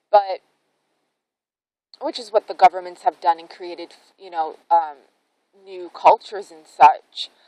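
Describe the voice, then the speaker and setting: The speech moves at a fairly slow pace with long, frequent pauses and big swings in loudness. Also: woman, medium pitch for a woman, ordinary pitch variation, dry, close sound with no echo. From Canada. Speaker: spiritual vlogger. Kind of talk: casual vlog monologue. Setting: outdoors in a forest. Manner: rambling, hesitant with fillers.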